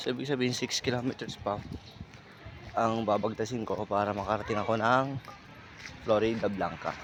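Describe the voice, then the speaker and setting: A man speaks at medium pitch with fairly even intonation and long, frequent pauses. Noticeable background noise fills the recording. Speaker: barefoot runner vlogger. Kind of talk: casual vlog narration while running. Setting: outdoors, along the highway. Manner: halting, stammering.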